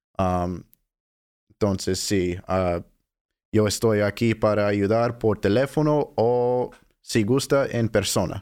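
At a very slow pace with long, frequent pauses, a man with an English accent speaks at a fairly low pitch, with ordinary pitch variation and very even loudness, in a very clean recording with a silent background. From Southern California. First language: English (speaking Spanish). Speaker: food bank outreach worker, former Spanish teacher. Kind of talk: interview. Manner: hesitant, many fillers.

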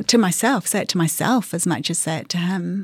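Someone with a New Zealand accent talks at a moderate pace. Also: woman. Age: 40s. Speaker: interviewee sharing fertility story. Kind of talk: personal testimony interview. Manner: halting.

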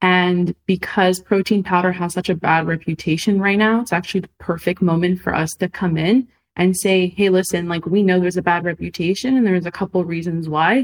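A woman with an unremarkable speaking voice talks at a medium pitch and fairly quick pace, hardly pausing, in a dry, close sound with no echo. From Montreal, Canada. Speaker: food startup founder. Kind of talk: interview.

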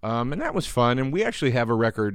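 In a quiet background, a man with an American accent talks at a very fast pace with ordinary pitch variation. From US East Coast. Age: 40s. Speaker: comedian. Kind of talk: casual chat. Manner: mumbling.

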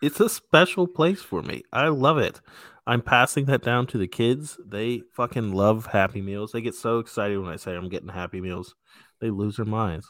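With an unremarkable speaking voice, a man talks at medium pitch and a moderate pace with lively intonation in a very clean recording with a silent background. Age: 30s. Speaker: podcast host. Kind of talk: casual chat.

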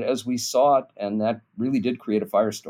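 At a moderate pace, a man uses a normal speaking voice with ordinary pitch variation. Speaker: political scientist. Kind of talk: interview conversation.

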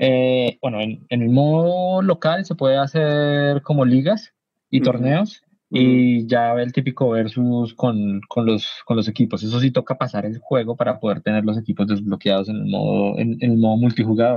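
Using a plain, everyday voice, a man talks at a moderate pace with a medium pitch and ordinary pitch variation. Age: 30s. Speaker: video game writer. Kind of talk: casual chat.

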